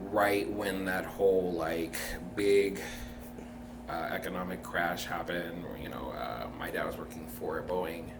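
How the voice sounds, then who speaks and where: Recorded with noticeable background noise and audible room echo, a man speaks fairly slowly in a very deep, low voice. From Tacoma, Washington, US. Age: 30s. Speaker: podcast guest. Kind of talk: interview.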